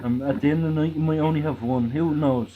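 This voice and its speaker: A man speaks at a moderate pace with a fairly high pitch. Noticeable background noise runs under the recording. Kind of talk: casual chat. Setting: group live stream.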